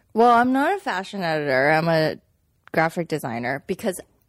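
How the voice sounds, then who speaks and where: On a very clean recording with a silent background, a woman talks with lively intonation. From Manhattan, Kansas, US (born in China). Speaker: magazine design director. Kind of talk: casual chat. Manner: animated.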